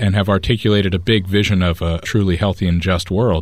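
Fairly low in pitch and at a fairly quick pace, a man with an American accent uses an unremarkable speaking voice with ordinary pitch variation in a very clean recording with a silent background. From United States. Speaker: climate activist. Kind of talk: interview.

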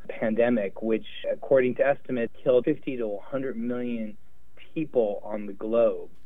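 This man speaks with an American accent at a moderate pace and a medium pitch. The room gives off an audible echo. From US West Coast, Los Angeles. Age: 50s. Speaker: infectious diseases doctor. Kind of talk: interview.

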